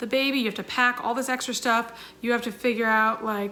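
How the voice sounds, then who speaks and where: A woman speaks fairly high in pitch with ordinary pitch variation. Her tone is bright and sharp. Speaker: YouTuber and singer in a sister band. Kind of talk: Q&A vlog. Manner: fast; animated.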